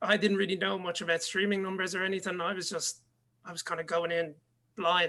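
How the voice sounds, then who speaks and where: Fairly quick, monotone, flat speech from a man with an Irish accent and a high pitch. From Ireland. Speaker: DJ and music producer. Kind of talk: interview.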